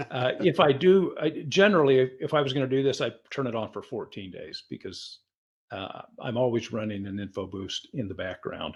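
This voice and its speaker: A somewhat breathy man at medium pitch, moderate pace, very wide pitch swings and big swings in loudness. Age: 70s. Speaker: health technology developer giving a demo. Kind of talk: software demonstration tutorial.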